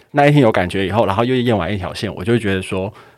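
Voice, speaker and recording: Lively intonation marks a man's speech on a very clean recording with a silent background. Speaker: podcast co-host. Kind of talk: casual chat.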